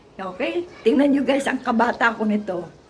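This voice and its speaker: A woman speaks at a fairly slow pace with a fairly high pitch and ordinary pitch variation, over noticeable background noise. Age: 70s. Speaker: retired teacher vlogger. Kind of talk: casual vlog talk. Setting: at home.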